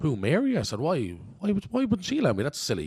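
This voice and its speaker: A man talks at a very fast clip. His tone is animated. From Ireland, Coolock, North Dublin. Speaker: actor. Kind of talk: interview. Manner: animated storytelling.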